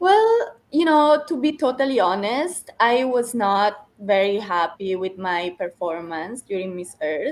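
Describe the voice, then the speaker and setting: A woman in an Italian accent, fairly high in pitch, fairly slow yet with hardly any pauses, her pitch swinging very widely. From Italy. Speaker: beauty pageant contestant. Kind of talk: interview.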